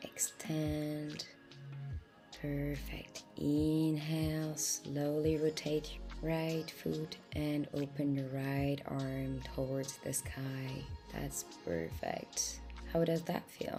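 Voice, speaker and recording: A woman speaks very slowly. Behind her, music is playing. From France. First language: French. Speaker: yoga instructor. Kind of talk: guided yoga instruction. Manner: calm, encouraging.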